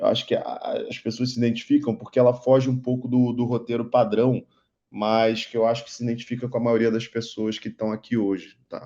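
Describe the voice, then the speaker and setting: The man's dark, mellow tone stays monotone, with flat intonation. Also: medium pitch for a man, quiet background. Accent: Rio de Janeiro. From Rio de Janeiro, Brazil. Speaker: investment advisor and instructor. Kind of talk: online lecture.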